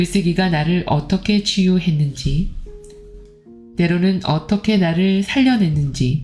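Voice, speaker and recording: The voice moves at a very slow pace with ordinary pitch variation. Music plays in the background. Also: woman. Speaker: book reader. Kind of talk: book reading.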